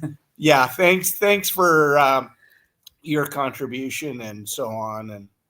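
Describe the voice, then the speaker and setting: In a very clean recording with a silent background, a man speaks very slowly in a fairly high pitch with a bright, sharp tone, lively intonation and big swings in loudness. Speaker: snowbike company team member. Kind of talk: casual chat.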